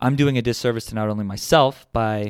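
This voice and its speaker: Background music accompanies the speech. The pace is fairly quick, and the pitch varies in an ordinary way. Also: man. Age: 30s. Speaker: podcast host. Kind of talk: solo podcast monologue.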